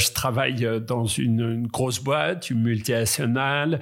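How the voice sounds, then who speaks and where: A man with medium pitch and an unremarkable speaking voice talks at a fairly slow pace in a very clean recording with a silent background. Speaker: kidnapping survivor. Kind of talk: testimony.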